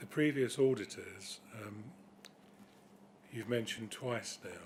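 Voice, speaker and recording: Mumbling from a man with a British accent, medium in pitch, at a moderate pace with fairly even intonation. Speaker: councillor. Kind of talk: committee meeting questions. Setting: council committee meeting.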